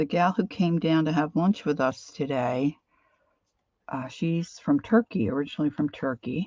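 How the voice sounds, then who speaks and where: A woman in a Philadelphia accent, very deep and low in pitch with a dark, mellow tone, lively intonation and a moderate pace, in a dry sound with no echo against a quiet background. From Philadelphia area, US. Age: 60s. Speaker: craft and art livestreamer; art livestreamer. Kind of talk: casual live-stream chat while crafting. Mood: relaxed, chatty.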